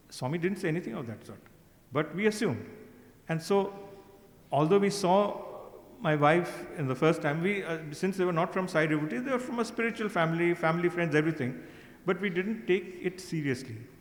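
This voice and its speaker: A high-pitched man at a fairly quick pace, lively intonation, noticeable background noise. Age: 70s. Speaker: senior devotee. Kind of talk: testimony. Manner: halting.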